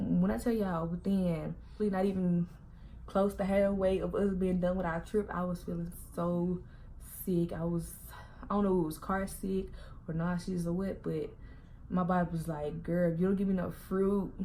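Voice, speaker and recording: In a dark, mellow tone, a woman with a fairly low pitch speaks somewhat breathily at a moderate pace, with monotone, flat intonation and long, frequent pauses. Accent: Southern US. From Southern US. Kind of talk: casual storytime vlog to camera. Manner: chatty, talkative.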